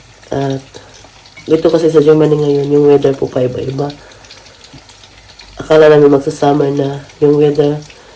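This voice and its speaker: Against noticeable background noise, a woman speaks at a moderate pace in a very deep, low voice with monotone, flat intonation. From Cebu, Philippines. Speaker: vlogger. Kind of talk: casual vlog chat. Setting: kitchen at home.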